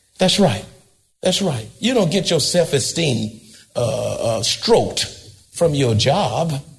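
A man speaks at a very slow pace in a fairly high voice, with audible echo from the room. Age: 80s+. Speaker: pastor. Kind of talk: sermon. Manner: animated.

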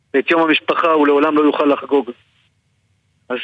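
The man speaks at a fairly high pitch. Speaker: brother of hostages. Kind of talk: radio interview.

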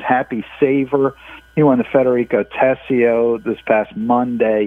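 A man with an ordinary speaking voice, medium pitch, and fairly slow pace. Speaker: horse racing journalist. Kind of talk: interview.

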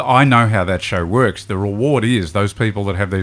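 The pace is moderate. The speaker is a man with an Australian accent. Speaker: podcast co-host. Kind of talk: casual chat.

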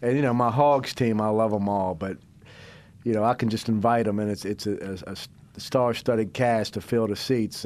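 A man with an American accent and a normal speaking voice, medium in pitch, at a moderate pace with ordinary pitch variation. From US South. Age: 30s. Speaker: radio host. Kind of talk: casual chat.

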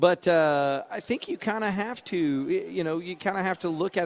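A man with a plain, everyday voice moves along at a fairly quick pace. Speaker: sports radio co-host. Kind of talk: live sports commentary from practice sideline. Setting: outdoors at team practice. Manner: quick play-by-play calls mixed with wry laughing asides.

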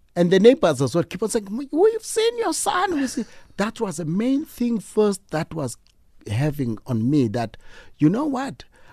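A man with a South African accent speaks at a moderate pace. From South Africa, Eastern Cape (East London). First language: Xhosa. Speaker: fashion designer. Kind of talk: radio interview. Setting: radio studio.

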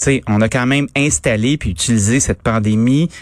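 A man talks at a fairly quick pace in a normal speaking voice, at medium pitch with ordinary pitch variation. The recording is very clean, with a silent background. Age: middle-aged. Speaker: radio host. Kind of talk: radio commentary.

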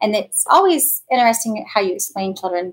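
A woman with a Midwestern US accent at a moderate pace. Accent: US Midwest. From Kansas. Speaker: bereaved mother, guest. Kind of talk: interview.

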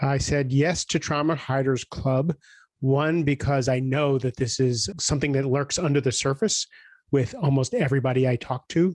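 An ordinary speaking voice at a moderate pace, with very even loudness and fairly even intonation, in a dry, close sound with no echo and a quiet background. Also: man, fairly high pitch for a man. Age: 50s. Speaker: executive coach and author. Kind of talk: interview conversation.

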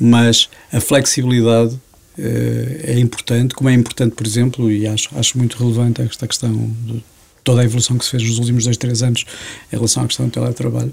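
A man talks at a very fast pace with medium pitch. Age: 50s. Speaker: business association director. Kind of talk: interview.

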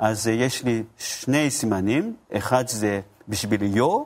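Speaking very slowly with a Japanese accent, a man uses a medium pitch and ordinary pitch variation. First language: Japanese (speaking Hebrew). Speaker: bible scholar. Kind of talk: interview. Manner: halting.

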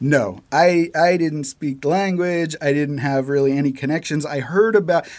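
With an American accent, a man speaks in an ordinary speaking voice at a fairly high pitch and ordinary pitch variation. His pace is moderate, with hardly any pauses. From United States. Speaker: animator. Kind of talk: casual interview chat.

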